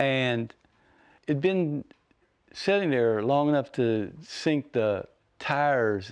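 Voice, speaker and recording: A man is speaking. He has an Appalachian accent. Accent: Appalachian American. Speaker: painter. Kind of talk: interview. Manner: soft-spoken.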